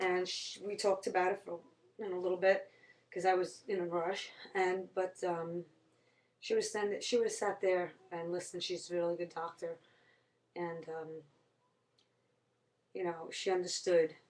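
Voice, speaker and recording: Monotone, flat intonation at a moderate pace, broken by long, frequent pauses. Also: woman, medium pitch for a woman. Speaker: vlogger. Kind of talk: casual monologue. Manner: halting.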